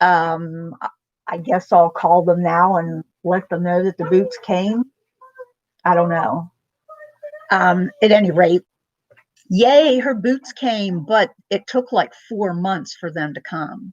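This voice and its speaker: A woman talks at a very slow pace with long, frequent pauses, her pitch fairly low. The sound is dry and close, with no echo. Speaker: vlogger. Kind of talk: casual chat. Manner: loud; keeping voice down.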